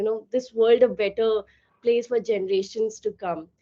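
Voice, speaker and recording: A woman speaks loudly at a moderate pace. Her pitch is fairly high. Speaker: company founder. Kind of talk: webinar talk.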